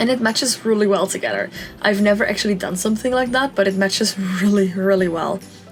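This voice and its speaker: Over music in the background, the voice moves at a fairly quick pace with fairly even intonation. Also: woman. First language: not English. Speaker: Sims speed-build YouTuber. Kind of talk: casual gameplay commentary. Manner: chatty, with many fillers.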